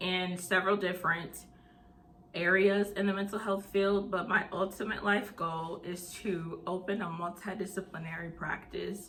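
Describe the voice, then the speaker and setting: A woman at a fairly slow pace, with noticeable background noise and audible room echo. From US South (Tennessee and Mississippi). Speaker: mental health channel host. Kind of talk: casual vlog Q&A.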